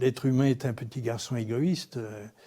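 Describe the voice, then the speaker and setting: A man's somewhat breathy voice, dark and mellow in tone, at medium pitch and a moderate pace, on a very clean recording with a silent background. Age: 70s. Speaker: animal sculptor. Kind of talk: documentary interview. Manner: hesitant, with repetitions and fillers.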